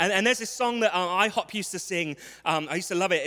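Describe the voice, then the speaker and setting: In a London accent, a man talks at a very fast pace in a raised, projected voice with lively intonation and a bright, sharp tone. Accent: London English, clear. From London, England. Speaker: visiting preacher. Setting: church with congregation. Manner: humorous, warm.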